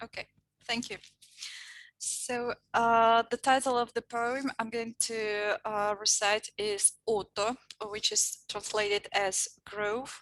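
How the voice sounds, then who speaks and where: A woman with a Russian accent talks very slowly in a fairly high pitch, in a very clean recording with a silent background and a dry, close sound with no echo. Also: fairly even intonation. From Mari El Republic, Russia. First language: Meadow Mari. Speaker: poet reader and language teacher. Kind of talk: poetry reading introduction. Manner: halting, with fillers.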